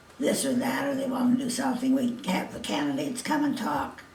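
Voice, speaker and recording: A woman speaks at a moderate pace and a high pitch. Noticeable background noise and audible room echo come through. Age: 80s+. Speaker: elderly interviewee. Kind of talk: oral history interview. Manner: halting.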